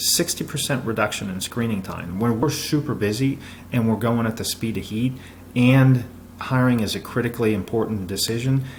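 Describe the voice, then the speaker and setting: There is noticeable background noise behind a man's voice. He talks fairly quickly at a medium pitch. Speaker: business consultant. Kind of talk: presentation. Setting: recorded video. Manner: fast; energetic.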